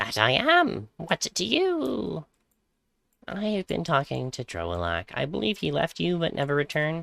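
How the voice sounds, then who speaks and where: A man performs a put-on character voice in a fairly high pitch at a moderate pace. The recording is very clean, with a silent background. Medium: game stream.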